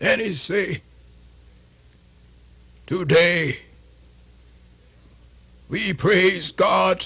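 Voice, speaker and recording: In a raspy, put-on character voice, a man speaks at a high pitch and a very slow pace with long, frequent pauses. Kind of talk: radio theatre folktale performance. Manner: folksy, animated.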